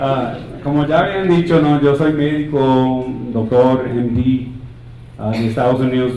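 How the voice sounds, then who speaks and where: A man with a non-native accent speaks amid audible room echo. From United States, Colombian family. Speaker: physician and conference speaker. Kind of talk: conference talk. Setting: stage with audience, slides. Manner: halting, with repeated words.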